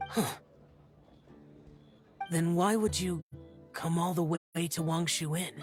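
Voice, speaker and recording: Over faint music in the background, a cartoonish character voice at middle pitch moves at a fairly slow pace. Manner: terse, cool.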